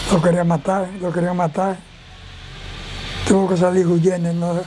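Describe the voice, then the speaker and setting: Moderate pace with long, frequent pauses, monotone and flat intonation, and music in the background. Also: man. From Dominican Republic. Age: 80s+. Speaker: retired police officer. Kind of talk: interview answer. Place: street. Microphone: lapel.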